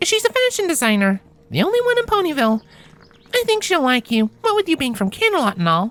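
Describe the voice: A woman does a put-on character voice, high in pitch with very wide pitch swings and a fairly bright tone. She talks at a fast pace in a dry, close sound with no echo.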